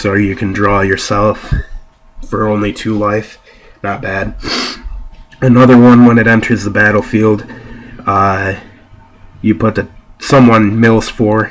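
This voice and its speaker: A man's fairly low-pitched, monotone voice at a fairly slow pace, with long, frequent pauses and noticeable background noise. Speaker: card game deck reviewer. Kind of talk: casual talk to camera. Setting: home, laptop camera.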